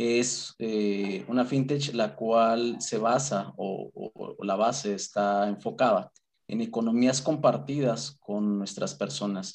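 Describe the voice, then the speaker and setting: A man at a very slow pace, with ordinary pitch variation and a quiet background. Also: medium pitch for a man. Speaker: credit and collections operations manager. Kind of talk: interview. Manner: talkative.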